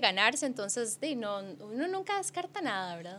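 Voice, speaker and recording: Her fairly high voice moves at a moderate pace as the woman speaks. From Costa Rica. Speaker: sports journalist. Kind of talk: casual chat.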